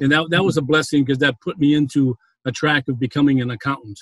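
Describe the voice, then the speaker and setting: Talking at a very fast pace, a man uses a Boston accent. His voice is fairly high and somewhat breathy, with fairly even intonation. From Boston, Massachusetts. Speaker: prison ministry founder, former banker. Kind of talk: interview, testimony. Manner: hesitant, with frequent fillers.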